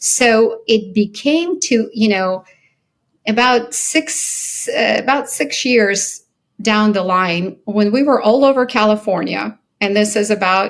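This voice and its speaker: A woman with an American accent, a fairly high pitch and ordinary pitch variation, at a very slow pace with very even loudness. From Soviet Ukraine, then US childhood. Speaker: company founder and CEO. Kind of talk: interview.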